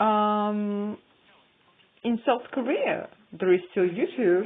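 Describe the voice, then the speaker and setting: Pitched fairly high, a woman with a non-native accent speaks at a very slow pace with ordinary pitch variation. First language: not English. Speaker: YouTuber. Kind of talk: casual vlog monologue. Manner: halting, many fillers.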